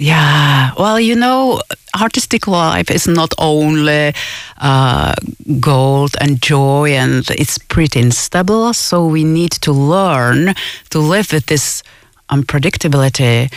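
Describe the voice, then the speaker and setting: Speaking very slowly in a Czech accent, a woman with a very deep, low pitch uses lively intonation. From Czech Republic. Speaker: musician. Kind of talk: radio interview. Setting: studio.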